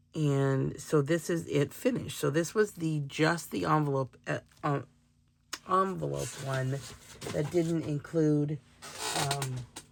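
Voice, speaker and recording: Over noticeable background noise, a woman with a very deep, low voice and ordinary pitch variation speaks very slowly, leaving long, frequent pauses. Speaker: crafter and shop owner. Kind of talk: craft show-and-tell. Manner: hesitant, many fillers.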